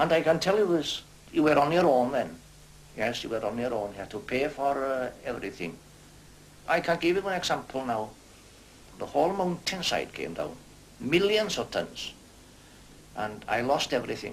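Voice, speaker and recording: A man in a north Welsh accent at a moderate pace, with very wide pitch swings and long, frequent pauses. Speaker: retired slate quarryman. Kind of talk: documentary interview.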